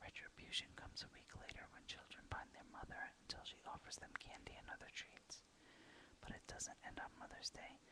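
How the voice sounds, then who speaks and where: Someone whispers at a fairly quick pace. There is noticeable background noise. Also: woman. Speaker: ASMR whisperer / video blogger. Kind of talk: whispered ASMR reading of facts. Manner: whispered, soft-spoken.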